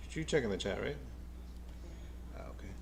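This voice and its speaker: The speaker has an American accent. Room echo can be heard. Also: man. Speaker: baseball fan streamer, nurse by day. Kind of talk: live game watch-along commentary. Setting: live stream. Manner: casual, repetitive stammering.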